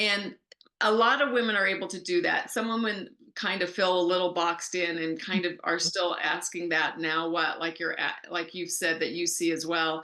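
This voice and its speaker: This woman has a plain, everyday voice with a fairly low pitch. She keeps a moderate pace and fairly even intonation. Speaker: life coach. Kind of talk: interview.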